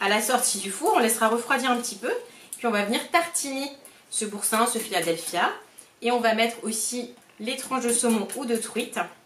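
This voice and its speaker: Over noticeable background noise and audible room echo, a woman speaks at a moderate pace with a fairly high pitch and ordinary pitch variation. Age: 30s. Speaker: cooking product sales consultant. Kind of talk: cooking demonstration tutorial. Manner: casual, hesitant with frequent fillers.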